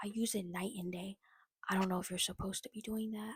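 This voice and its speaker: Somewhat breathy and with fairly even intonation, the speaker has an American accent. The sound is dry and close, with no echo. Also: woman. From US, Virginia. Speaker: beauty vlogger. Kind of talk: makeup tutorial. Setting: at home, late at night. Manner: soft-spoken.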